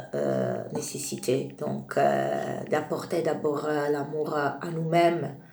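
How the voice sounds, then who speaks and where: A woman with a very deep, low pitch speaks in a monotone, flat intonation amid audible room echo and noticeable background noise. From Italy. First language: Italian (speaking French). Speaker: tarot reader. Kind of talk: spiritual talk to camera. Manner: halting, many hesitations.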